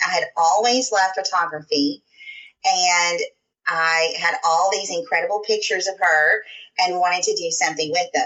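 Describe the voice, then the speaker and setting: Speaking at a moderate pace with a Southern US accent, a woman keeps her loudness very even, her pitch medium and her pitch variation ordinary. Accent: sweet Southern. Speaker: scrapbooker and crafter. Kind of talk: podcast interview.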